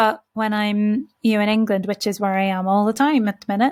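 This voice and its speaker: A woman's voice sounds somewhat breathy. The recording is very clean, with a silent background. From Northern Ireland (Belfast). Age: 30s. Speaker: podcast host. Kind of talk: solo reflective podcast monologue. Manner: slow, carefully enunciated.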